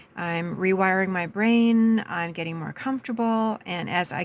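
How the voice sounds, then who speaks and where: A woman uses a normal speaking voice at medium pitch. Her pace is moderate and her intonation fairly even. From Canada, British Columbia. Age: 60s. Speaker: life coach. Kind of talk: personal video monologue.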